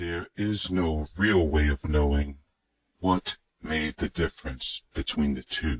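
At a fairly slow pace, someone delivers lines in a cartoonish character voice. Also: man, very deep, low pitch for a man. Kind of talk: documentary narration. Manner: grave, reflective.

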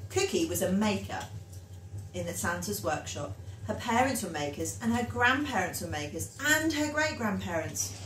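A woman speaks at a moderate pace. Light background noise and audible room echo surround her voice. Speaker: storyteller. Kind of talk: reading a children's story aloud. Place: home room. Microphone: phone near.

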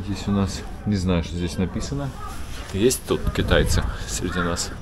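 A man talks at a moderate pace with a low pitch and lively intonation. Background noise is clearly heard.

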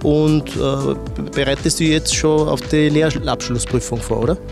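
Clear music plays behind a man who speaks fairly slowly in an Austrian Bavarian accent, the sound dry with no echo. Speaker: TV presenter. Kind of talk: on-site interview for corporate TV. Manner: friendly, casual. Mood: friendly, encouraging. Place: factory. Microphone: handheld.

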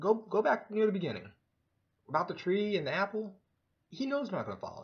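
A man speaks at a very fast pace with a quiet background. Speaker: vlogger. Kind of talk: casual vlog monologue on religion. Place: home room. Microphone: webcam.

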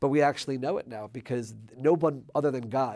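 Against a quiet background, a man with an American accent talks at a fairly quick pace with fairly even intonation. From Maryland, USA. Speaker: former member of parliament. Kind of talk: interview answer. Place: studio.

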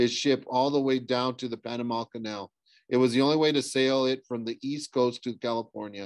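A quiet background behind someone reading aloud in a natural voice, the intonation fairly even.

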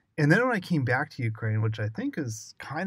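On a very clean recording with a silent background, a man with a Western US accent sounds somewhat breathy. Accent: American, Western US. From US Southwest (Arizona). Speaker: UX writer. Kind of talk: casual interview.

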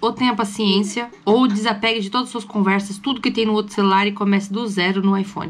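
A woman talks at a very fast pace with hardly any pauses, sounding somewhat breathy. Light background noise is present. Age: 20s. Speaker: mother and family vlogger; family vlogger. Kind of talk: casual vlog talk to camera. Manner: chatty, upbeat. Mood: mildly exasperated, chatty. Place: home room. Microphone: phone near.

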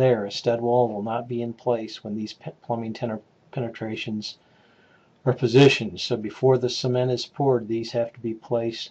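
A man talks at a moderate pace with flat, monotone intonation. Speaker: instructor. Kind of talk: tutorial. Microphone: webcam.

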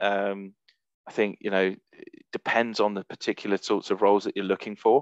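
In a quiet background with dry, echo-free sound, a man with a fairly low pitch talks at a moderate pace with hardly any pauses. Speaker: recruiter; presenter. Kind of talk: webinar presentation. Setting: video call. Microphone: video call.

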